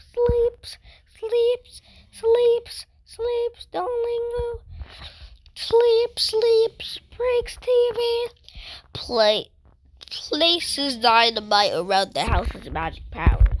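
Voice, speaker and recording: In a squeaky put-on character voice, a woman talks very slowly at an extremely high pitch, with long, frequent pauses. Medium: machinima.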